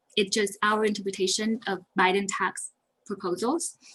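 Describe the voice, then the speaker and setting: Somewhat breathy, a woman speaks at medium pitch with a Vietnamese accent. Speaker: accountant. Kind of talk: webinar presentation. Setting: online webinar. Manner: fast.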